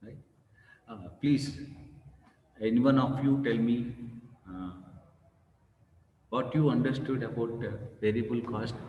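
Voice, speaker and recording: A man with a dark, mellow tone and a somewhat breathy voice talks at a fairly slow pace with ordinary pitch variation, big swings in loudness, long, frequent pauses and audible room echo. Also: medium pitch for a man. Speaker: professor. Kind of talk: lecture.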